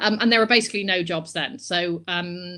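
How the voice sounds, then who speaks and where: A woman with a Bristol accent speaks at a very fast pace in a fairly low pitch, with fairly even intonation. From England, Bristol. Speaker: publishing professional. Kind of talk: live-streamed Q&A interview. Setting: live video stream.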